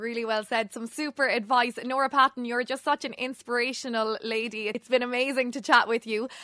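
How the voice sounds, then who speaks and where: A woman's high-pitched, bright, sharp voice with an enthusiastic tone, at a fairly quick pace with hardly any pauses, in a very clean recording with a silent background and a dry, close sound with no echo. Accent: Irish. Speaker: podcast host. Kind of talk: interview.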